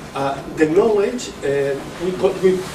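A man talks in a high voice with a Catalan accent. Noticeable background noise can be heard. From Catalonia. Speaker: professor and education official. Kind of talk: lecture. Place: meeting room. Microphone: camera far.

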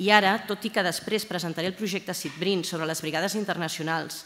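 A plain, everyday voice from a woman, medium in pitch, at a fairly quick pace with fairly even intonation. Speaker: university librarian. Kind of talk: formal speech. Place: hall. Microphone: podium.

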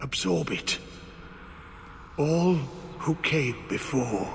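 Over clear background noise, a man talks very slowly in a put-on character voice. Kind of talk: video game voice acting. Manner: rambling, fragmented, haunted.

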